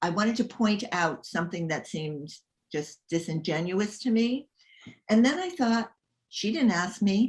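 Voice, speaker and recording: Somewhat breathy and fairly high in pitch, a woman's voice carries lively intonation. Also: moderate pace. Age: 70s. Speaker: writer and memoirist. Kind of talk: casual chat. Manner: halting.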